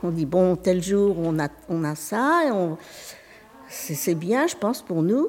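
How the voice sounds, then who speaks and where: A woman speaks with very wide pitch swings. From France, Anjou countryside (Maine-et-Loire). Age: 80s+. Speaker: retiree, workshop participant. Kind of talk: casual chat. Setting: community centre. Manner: halting.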